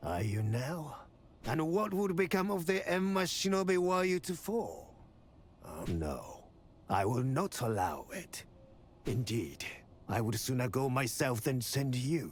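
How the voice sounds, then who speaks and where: Using a put-on character voice, a man speaks at a fairly slow pace and medium pitch with very wide pitch swings and long, frequent pauses over clear background noise. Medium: video game. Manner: measured, authoritative.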